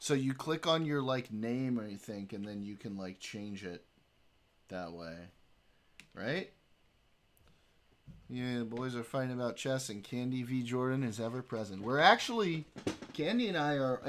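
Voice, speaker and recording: At a moderate pace, a man of medium pitch speaks with ordinary pitch variation, long, frequent pauses and big swings in loudness. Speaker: streamer. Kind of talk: casual chat. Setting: live stream. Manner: animated.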